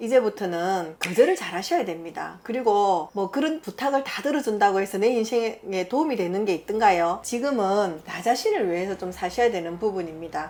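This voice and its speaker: A woman in a Busan accent, lively intonation, big swings in loudness and hardly any pauses over noticeable background noise. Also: medium pitch for a woman, moderate pace. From Busan, South Korea. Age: 50s. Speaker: shaman fortune teller. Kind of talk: fortune-telling interview answer. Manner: frank, matter-of-fact.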